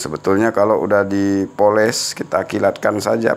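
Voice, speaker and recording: At a moderate pace, a man with a fairly low pitch talks in an ordinary speaking voice. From Aceh, Indonesia. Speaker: gemstone hunter YouTuber; gemstone reviewer. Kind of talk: casual video review. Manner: chatty, with frequent fillers. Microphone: phone near.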